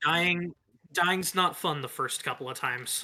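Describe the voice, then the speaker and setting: A man's high-pitched, put-on character voice at a moderate pace. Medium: actual play. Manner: practical, down-to-earth.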